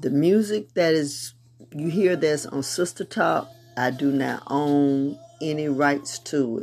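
A woman talks at a very slow pace with a very deep, low pitch and ordinary pitch variation. Music plays in the background. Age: 50s. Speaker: podcast host. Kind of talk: casual monologue. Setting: home prayer room with music playing.

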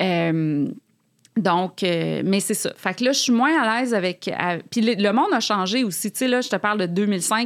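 A woman with an unremarkable speaking voice talks at a moderate pace and medium pitch, recorded very cleanly against a silent background. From Quebec City, Quebec. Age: 40s. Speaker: author. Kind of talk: casual interview chat.

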